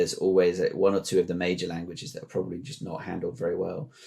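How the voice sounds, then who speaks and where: This is a man speaking. He has a British accent. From UK. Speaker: podcast host. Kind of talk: podcast interview.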